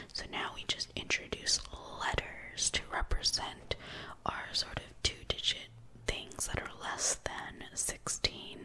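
The speaker whispers, soft-spoken, at a very slow pace. Light background noise can be heard. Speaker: tutor. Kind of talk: tutorial. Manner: soft whispered ASMR explanation. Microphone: phone near.

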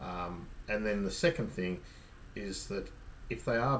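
At a moderate pace, a man with a fairly low pitch speaks in a somewhat breathy voice over light background noise. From Australia. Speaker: kayak fishing youtuber. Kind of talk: casual tutorial to camera. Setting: outdoors on a kayak. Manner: hesitant, many ums and repeats. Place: home room.

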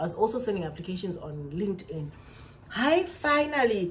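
Somewhat breathy, a woman speaks with lively intonation in a South African accent. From South Africa, Xhosa-speaking. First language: isiXhosa. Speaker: vlogger, English teacher in China. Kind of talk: storytime vlog. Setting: recorded to camera at home. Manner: animated. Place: home room. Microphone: phone near.

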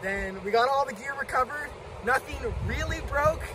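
A man at a moderate pace with ordinary pitch variation, dry sound with no echo, and noticeable background noise. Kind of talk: casual storytelling. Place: waterside. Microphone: camera far.

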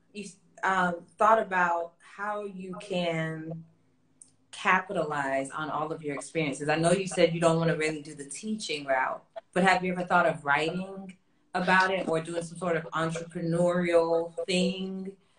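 In an American accent, the speech keeps a moderate pace with big swings in loudness. Audible room echo and light background noise are present. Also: woman. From US South (Florida), Jamaican heritage. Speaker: vocal coach and interviewer; interviewer, vocal coach. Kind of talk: casual interview. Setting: online live stream. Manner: animated. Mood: relaxed, curious. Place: home room.

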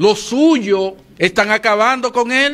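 In a Dominican Cibao accent, a man talks with lively intonation. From Dominican Republic. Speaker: TV morning show commentator; TV show host. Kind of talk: opinion commentary. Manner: animated. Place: studio. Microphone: studio mic.

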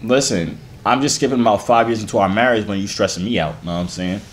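A man talks fast with a fairly low pitch and ordinary pitch variation. Audible room echo surrounds his voice.

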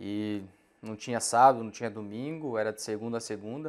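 Ordinary pitch variation marks a man's moderately paced speech. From Mato Grosso, Brazil (raised in Sorriso); Mato Grosso, Brazil. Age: 30s. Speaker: farm association director; guest. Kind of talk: interview. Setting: studio. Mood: calm, concerned. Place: studio. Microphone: lapel.

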